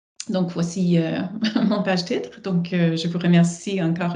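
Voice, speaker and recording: Amid noticeable background noise and audible room echo, a woman with an English accent speaks at a moderate pace in a fairly low, flat monotone. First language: English (speaking French). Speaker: professor and researcher. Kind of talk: live online talk introduction. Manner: hesitant, many fillers.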